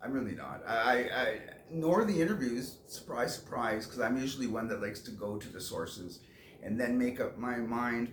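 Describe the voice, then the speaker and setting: A man at a moderate pace with lively intonation, plus audible room echo. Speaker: vlogger. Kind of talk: casual vlog monologue. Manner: halting.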